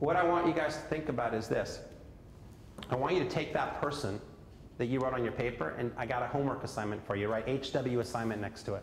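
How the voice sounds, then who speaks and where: Speaking very fast, a man with an American accent uses a medium pitch. Noticeable background noise and audible room echo surround him. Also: ordinary pitch variation. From California. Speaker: sales coach, seminar speaker. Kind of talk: motivational seminar talk. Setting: seminar room with live audience, wearing a mic. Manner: energetic, conversational.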